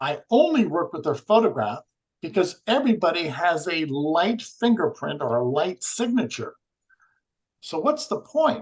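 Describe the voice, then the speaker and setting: The man's pitch is high and swings very widely. He keeps a moderate pace. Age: 60s. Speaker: energy healing researcher. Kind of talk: podcast interview.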